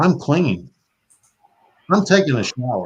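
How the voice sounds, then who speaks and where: At a moderate pace, a man with a Southern US accent talks with very wide pitch swings. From US South (Florida). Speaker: podcast host. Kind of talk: casual chat. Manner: animated.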